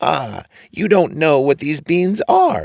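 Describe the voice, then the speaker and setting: A man's put-on character voice, fairly high in pitch, with lively intonation and a fairly slow pace. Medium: read story.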